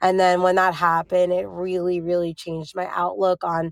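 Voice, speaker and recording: Recorded very cleanly against a silent background, a woman with an American accent speaks at a moderate pace with a fairly low pitch and monotone, flat intonation. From New Jersey. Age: 30s. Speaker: young widow sharing her grief story. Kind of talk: interview about personal loss.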